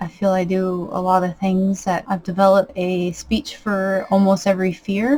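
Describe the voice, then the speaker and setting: A woman's somewhat breathy voice at a medium pitch, with monotone, flat intonation. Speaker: vlogger. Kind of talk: personal vlog monologue. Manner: nervous, voice sometimes shakes; slight speech impediment.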